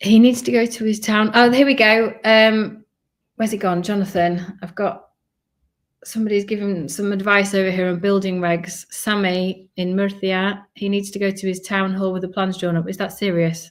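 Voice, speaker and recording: A woman with a Yorkshire accent speaks at a moderate pace. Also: medium pitch for a woman, fairly even intonation. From northern England, Leeds, Yorkshire. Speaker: family vlogger and relocation advisor. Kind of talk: live stream Q&A. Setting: live stream. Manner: casual, chatty.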